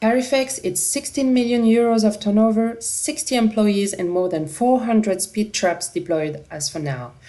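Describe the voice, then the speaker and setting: With a French accent, a woman speaks at a moderate pace and hardly pauses, her fairly high voice dark and mellow in tone, with lively intonation. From France. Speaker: company representative presenting a product. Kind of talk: product presentation.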